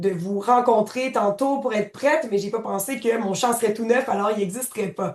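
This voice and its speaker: Her pitch fairly high, a woman talks with ordinary pitch variation. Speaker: software trainer. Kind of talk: tutorial.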